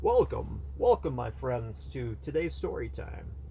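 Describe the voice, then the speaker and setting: A man puts on a character voice at a fairly slow pace against clear background noise. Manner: storyteller.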